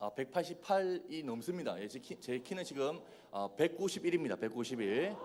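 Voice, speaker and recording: Over noticeable background noise, a man with a Busan accent and a fairly high pitch speaks at a moderate pace. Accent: Busan dialect (Gyeongsang). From Busan, South Korea. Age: 20s. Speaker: youth evangelist. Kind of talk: sermon. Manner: animated, joking.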